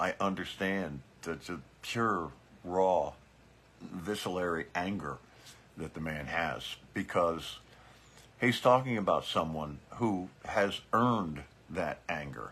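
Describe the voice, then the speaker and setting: A man's very deep, low voice at a very slow pace, with ordinary pitch variation and long, frequent pauses. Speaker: biker political commentator. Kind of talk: casual livestream commentary. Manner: hesitant, many fillers and repeats.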